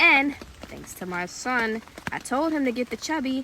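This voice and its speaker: There is noticeable background noise behind a woman's voice. She speaks high with very wide pitch swings. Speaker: survival vlogger. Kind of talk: casual vlog. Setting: outdoors.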